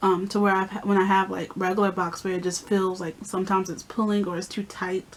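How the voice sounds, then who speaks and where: In a monotone, flat intonation, a woman speaks at a very fast pace with hardly any pauses and a medium pitch. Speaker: beauty vlogger. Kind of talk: casual vlog talk.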